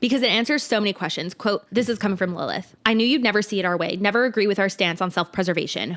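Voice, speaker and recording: Speaking at a very fast pace, a woman with a medium-pitched voice sounds animated, her pitch varying in an ordinary way on a very clean recording with a silent background. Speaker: book podcast co-host. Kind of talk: casual chat.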